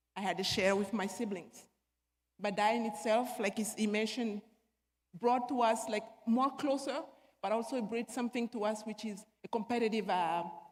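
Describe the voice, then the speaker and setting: A woman speaks with an African accent at a fairly high pitch. Her pace is moderate and her intonation fairly even. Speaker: panelist, former basketball player. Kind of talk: panel discussion, personal testimony.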